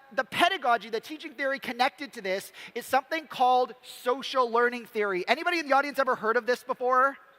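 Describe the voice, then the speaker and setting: Raised and projected, a man's extremely high-pitched voice moves at a fairly quick pace with ordinary pitch variation, in a dry, close sound with no echo over noticeable background noise. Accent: Canadian. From Canada. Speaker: developer educator, former science teacher. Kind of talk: conference talk. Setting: stage with audience.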